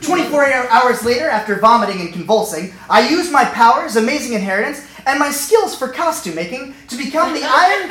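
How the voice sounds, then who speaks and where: With an American accent and very wide pitch swings, a man talks with hardly any pauses amid audible room echo and noticeable background noise. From US, Northern Virginia. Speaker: storyteller. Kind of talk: comedic storytelling. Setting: stage with audience.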